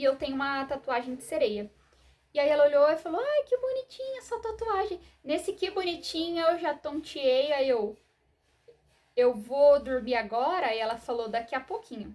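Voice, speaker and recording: Soft-spoken and high-pitched, a woman talks at a moderate pace with very wide pitch swings. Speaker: vlogger sharing personal medical story. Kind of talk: personal testimony to camera. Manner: hesitant, many fillers.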